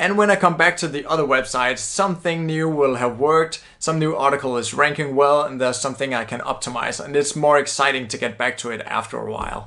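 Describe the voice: A man with a Danish accent, medium pitch, bright, sharp tone, ordinary pitch variation, and a fairly quick pace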